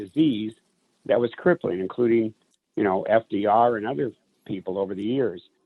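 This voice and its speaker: A man speaks at a moderate pace in a plain, everyday voice. His pitch sits in the medium range and varies an ordinary amount. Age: 60s. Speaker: magician and business executive. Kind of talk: interview. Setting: radio show.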